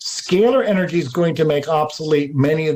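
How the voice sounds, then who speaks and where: The speaker keeps a moderate pace against noticeable background noise. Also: man. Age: 60s. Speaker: alternative energy researcher. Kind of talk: interview.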